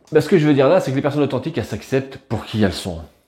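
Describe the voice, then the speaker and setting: A man's dark, mellow voice with lively intonation. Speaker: personal development youtuber. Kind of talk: video monologue on self-improvement. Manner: fast, sometimes tripping over words; casual, many fillers.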